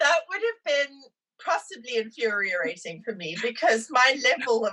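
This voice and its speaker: A woman with a South African accent speaks at a moderate pace in a high pitch, her voice making very wide pitch swings. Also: big swings in loudness. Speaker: immigrant sharing her story. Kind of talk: podcast interview.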